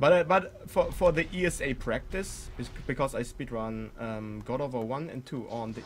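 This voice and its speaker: Speaking with a German accent, a man keeps a moderate pace at medium pitch. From Germany. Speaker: speedrunner streamer. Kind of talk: live gameplay commentary. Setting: live stream. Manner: halting.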